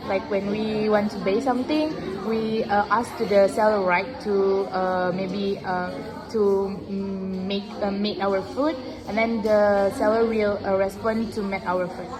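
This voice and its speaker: A woman speaks at a fairly slow pace with fairly even intonation. Music plays behind her, and there is audible room echo. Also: medium pitch for a woman. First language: not English. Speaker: student. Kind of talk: classroom speaking practice. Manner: halting.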